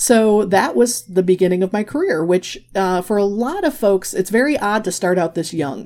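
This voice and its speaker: A woman in a Midwestern accent talks at a moderate pace with hardly any pauses, her medium-pitched voice dark and mellow in tone, with lively intonation. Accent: American (Midwest). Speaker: graphic facilitator and author. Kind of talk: interview.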